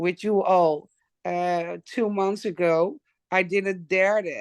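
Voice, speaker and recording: A woman speaks very slowly in a Dutch accent, her pitch fairly low with ordinary variation. The sound is dry and close with no echo, over a quiet background. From Netherlands. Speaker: wellness product user. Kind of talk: testimony. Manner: halting.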